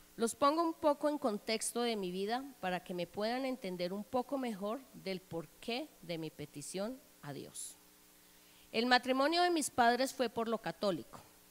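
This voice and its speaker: A woman talks at a fairly slow pace, her fairly high pitch swinging very widely. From Colombia, Bogotá. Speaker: church member giving testimony. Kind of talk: testimony. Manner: formal.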